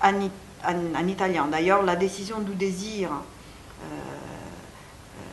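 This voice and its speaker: In a room with audible echo and noticeable background noise, a woman speaks very slowly at medium pitch with fairly even intonation. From Italy. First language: Italian (speaking French). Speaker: psychoanalyst and author. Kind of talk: interview. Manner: halting.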